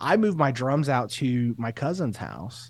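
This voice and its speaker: A man talks at a moderate pace and a medium pitch. He has an ordinary speaking voice, and the recording is very clean with a silent background. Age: 30s. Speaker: teacher and assistant principal, podcaster. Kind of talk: interview, personal story.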